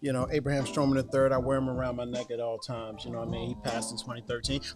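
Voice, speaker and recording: With music playing in the background, a man of medium pitch speaks at a very fast pace. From Baltimore, raised partly in Germany. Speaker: talk show guest, rapper. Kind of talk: casual chat. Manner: animated.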